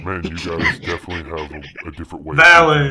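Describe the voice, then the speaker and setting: Using a put-on character voice, a man talks at a very fast pace with a very deep, low pitch. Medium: actual play. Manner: imperious, commanding.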